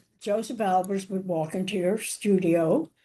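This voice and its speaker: In an American accent, a woman speaks at a fairly slow pace in a medium pitch with a dark, mellow tone against a quiet background. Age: 80s+. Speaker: chef and cookbook author. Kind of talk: interview answer.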